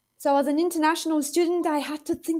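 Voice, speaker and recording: Speaking with a non-native accent, a woman is heard. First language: not English. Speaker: psychology lecturer. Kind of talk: panel Q&A.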